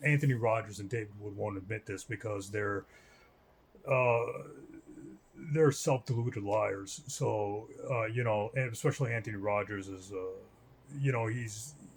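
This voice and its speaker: A man at medium pitch sounds somewhat breathy, with ordinary pitch variation. He leaves long, frequent pauses. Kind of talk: video commentary / religious rebuttal. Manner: fast; hesitant, many fillers.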